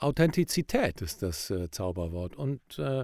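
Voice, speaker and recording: The recording is very clean, with a silent background. In it, a man's pitch swings very widely. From Rhineland, Germany. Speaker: professional speaker and presentation coach. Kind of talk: casual podcast chat.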